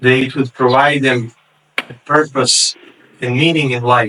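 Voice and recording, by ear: A man talks at a medium pitch and a fairly slow pace. His tone is bright and sharp, with fairly even intonation.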